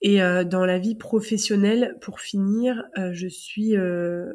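Speech moves at a very slow pace with fairly even intonation. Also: woman. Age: 30s. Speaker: teacher. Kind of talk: casual chat. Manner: halting.

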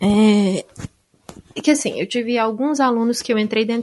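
An unremarkable speaking voice, moderately paced, its pitch varying in an ordinary way. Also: woman. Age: 20s. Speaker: teacher and author. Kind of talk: casual chat.

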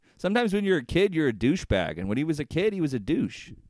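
An animated man in an American accent talks at a very fast pace with very wide pitch swings. The recording is very clean, with a silent background. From Indiana, US Midwest. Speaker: wrestling podcast host. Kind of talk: casual banter, rant about wrestling. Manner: animated, ranting, profane.

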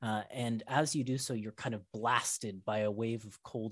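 An unforced reading voice carries fairly even intonation throughout.

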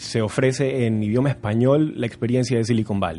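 This man's voice sits at medium pitch with a dark, mellow tone. His intonation stays fairly even. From Ecuador, Guayaquil. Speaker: edtech startup founder. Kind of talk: radio interview.

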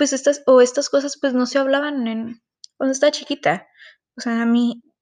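A woman's fairly even intonation carries at a moderate pace over a quiet background. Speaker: student podcaster. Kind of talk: personal monologue podcast.

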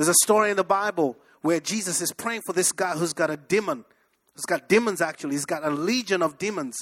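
A man with an African accent and a high pitch talks at a very fast pace with an animated tone and ordinary pitch variation. The sound is dry and close, with no echo. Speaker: pastor. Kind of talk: sermon. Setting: church with congregation.

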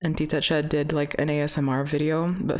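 This woman has a very deep, low pitch and a Pacific Northwest accent. Her intonation is monotone and flat. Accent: Pacific Northwest American. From US Pacific Northwest. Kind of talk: casual chat. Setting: recording studio with mics.

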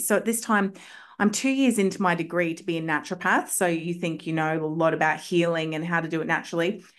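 A woman with an Australian accent, fairly low-pitched, at a fairly quick pace over a quiet background. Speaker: homeopath. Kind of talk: casual chat. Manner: animated.

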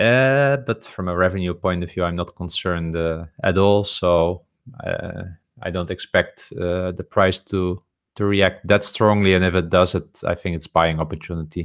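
In a very clean recording with a silent background, a man with a Continental European accent speaks at a moderate pace in a very deep, low pitch, his intonation fairly even. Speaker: podcast co-host. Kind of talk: casual chat about investing. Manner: halting, hesitant with filler words.

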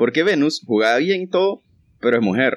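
A man speaks at a fairly quick pace in an animated tone, recorded with a dry, close sound and no echo. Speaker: podcast co-host. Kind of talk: casual chat.

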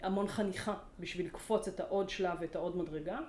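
Audible room echo follows a woman speaking at medium pitch and a fairly quick pace. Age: 40s. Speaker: organizational learning consultant. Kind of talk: interview. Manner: animated.

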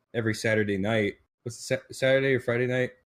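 His intonation fairly even, a man speaks at a fairly quick pace. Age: 20s. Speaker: podcast co-host and video editor. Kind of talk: casual chat. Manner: halting.

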